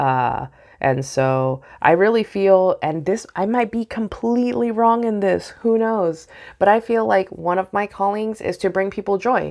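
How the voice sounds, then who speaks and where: Against a quiet background, a woman with a medium pitch speaks at a fairly slow pace, her pitch swinging very widely. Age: 30s. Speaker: vlogger. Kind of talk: personal video diary. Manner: halting.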